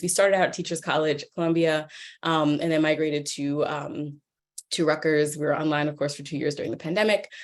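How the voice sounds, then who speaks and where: Speaking very fast, a woman with a New York accent uses a very deep, low pitch. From US Northeast, New York. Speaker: professor. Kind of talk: lecture. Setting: video call. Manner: animated.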